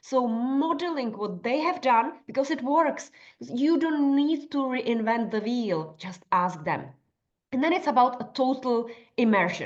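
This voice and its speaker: With a non-native accent, a woman speaks at a fairly slow pace. Her voice is high-pitched with lively intonation. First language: not English. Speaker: nutritionist and life coach. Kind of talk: workshop tutorial. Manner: conversational with fillers.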